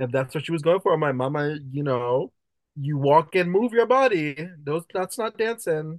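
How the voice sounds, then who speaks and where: A man's animated, fairly high voice in a Jamaican accent, lively in intonation, with a dry, close sound, no echo and a quiet background. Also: moderate pace. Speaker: drag performer. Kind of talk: casual chat.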